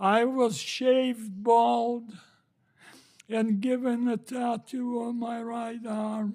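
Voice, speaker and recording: Speaking at a very slow pace, a man uses an extremely high pitch in a monotone, flat intonation, his tone dark and mellow. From Slovakia. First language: not English. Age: 80s+. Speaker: Holocaust survivor. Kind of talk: testimony. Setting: Senate committee hearing.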